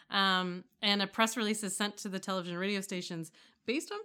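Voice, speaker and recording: A woman with a Canadian accent talks at a fairly quick pace in a bright, sharp tone. Her pitch is medium with ordinary variation, and the recording is very clean with a silent background. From Toronto, Canada. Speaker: podcast co-host. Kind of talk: casual chat.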